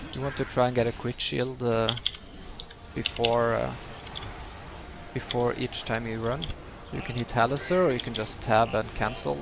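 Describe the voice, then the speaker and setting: A man talks at a medium pitch and a moderate pace, with lively intonation. His long, frequent pauses sit against noticeable background noise. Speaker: gaming tutorial creator. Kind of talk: tutorial. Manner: hesitant, many filler words.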